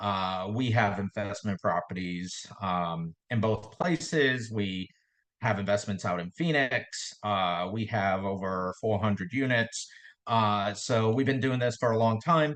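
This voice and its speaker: He speaks with a Boston accent. His pitch is fairly low. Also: ordinary pitch variation, fairly slow pace. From Boston area, Massachusetts. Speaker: real estate investor. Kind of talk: podcast interview. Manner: hesitant, many fillers and repetitions.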